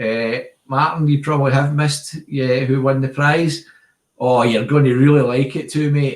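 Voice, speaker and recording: A man with a strong Glasgow accent speaks at a moderate pace and medium pitch. His voice is somewhat breathy, with fairly even intonation. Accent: Glasgow Scottish, strong. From Scotland, Glasgow area. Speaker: airgun channel host. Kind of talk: live stream chat. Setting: video call live stream. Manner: casual, chatty.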